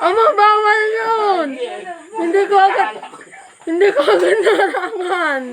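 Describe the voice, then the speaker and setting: A woman speaks at an extremely high pitch and a very slow pace, with long, frequent pauses and ordinary pitch variation. Audible room echo and noticeable background noise surround her voice. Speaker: live streamer. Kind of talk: casual chat. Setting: Facebook live at home with family. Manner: loud.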